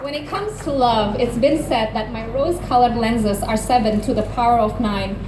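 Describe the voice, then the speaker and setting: Against noticeable background noise, a woman talks at a fairly quick pace with hardly any pauses, a fairly high pitch and ordinary pitch variation. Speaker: spoken word poet. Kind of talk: poetry slam performance.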